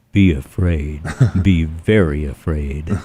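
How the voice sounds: In a put-on character voice, a man delivers a menacing, dramatic tone at a fairly slow pace and a very deep, low pitch.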